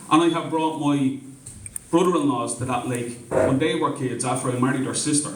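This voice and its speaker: With a Dublin accent, a man with a fairly high pitch speaks at a moderate pace and fairly even intonation amid noticeable background noise and audible room echo. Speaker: community meeting organiser. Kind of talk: public speech at community meeting. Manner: impassioned, repetitive.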